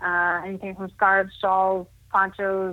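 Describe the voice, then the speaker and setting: On a very clean recording with a silent background, a woman speaks at a fairly slow pace in a medium pitch with a bright, sharp tone. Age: 30s. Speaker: blind para judo athlete. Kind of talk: casual interview chat.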